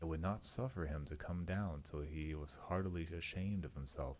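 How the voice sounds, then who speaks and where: A booming man with a very deep, low pitch at a moderate pace. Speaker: vtuber streamer. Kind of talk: reading aloud. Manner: kept moderate volume, not loud.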